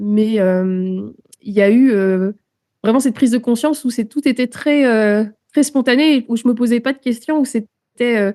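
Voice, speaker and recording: A woman speaks at a moderate pace with a dark, mellow tone and ordinary pitch variation. Her speech has long, frequent pauses. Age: 30s. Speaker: musician and naturalist. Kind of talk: interview. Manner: hesitant, many filler words.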